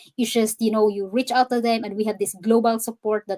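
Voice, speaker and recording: With a Visayan Filipino accent, a woman talks at a fairly high pitch and with fairly even intonation, the sound dry and close with no echo. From Philippines, Cebu. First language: Cebuano. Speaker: digital business owner and fitness coach. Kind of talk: interview on a live stream, English mixed with Tagalog. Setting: live stream.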